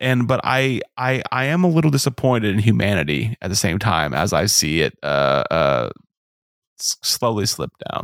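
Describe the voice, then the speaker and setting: A man's fairly low voice with vocal fry and very wide pitch swings, at a moderate pace, in a dry, close sound with no echo. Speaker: podcast host. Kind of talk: casual chat. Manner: stuttering, halting.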